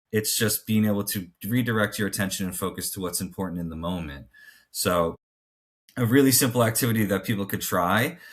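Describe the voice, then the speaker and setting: Fairly quick and fairly low-pitched, a man talks in an unremarkable speaking voice with ordinary pitch variation on a very clean recording with a silent background. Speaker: mental performance coach. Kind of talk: podcast discussion. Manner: casual, many filler words.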